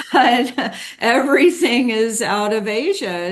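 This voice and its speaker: A woman with an American accent, with audible room echo. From United States. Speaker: podcast host. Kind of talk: interview. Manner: halting, repeats words.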